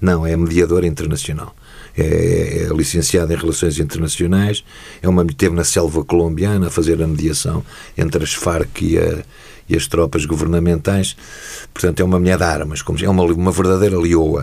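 This man's very deep, low voice keeps a moderate pace, very even loudness and fairly even intonation. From Portugal, Lisbon. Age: 60s. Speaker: retired judge and football club figure. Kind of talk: interview.

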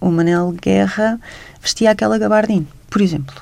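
A woman with a European Portuguese accent talks at a fairly quick pace over noticeable background noise. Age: 40s. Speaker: writer and journalist. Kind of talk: radio interview.

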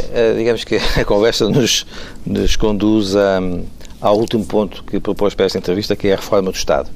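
A man at a fairly low pitch and fairly quick pace, flat and monotone in intonation, with very even loudness over noticeable background noise. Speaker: radio interviewer. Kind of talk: interview.

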